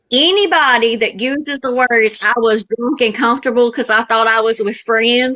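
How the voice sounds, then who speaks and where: In a Southern US accent, a woman speaks at a high pitch and a moderate pace, her tone bright and sharp, with ordinary pitch variation and a dry, close sound with no echo. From US South. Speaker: TikTok live participant. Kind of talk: casual chat. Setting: live stream.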